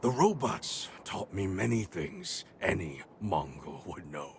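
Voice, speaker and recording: A man's put-on character voice with very wide pitch swings. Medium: video game. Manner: measured, dignified, formal.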